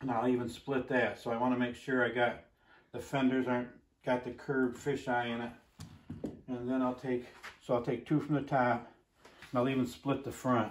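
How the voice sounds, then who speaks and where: A man speaks at a moderate pace in a flat monotone, with long, frequent pauses and light background noise. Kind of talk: casual tutorial. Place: workshop.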